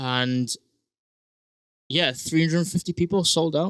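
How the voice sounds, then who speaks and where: In a South Wales accent, a man speaks with a bright, sharp tone and ordinary pitch variation, in a dry, close sound with no echo. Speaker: singer-songwriter and rugby player. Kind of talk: casual interview chat. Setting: recording studio. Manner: hesitant, many fillers.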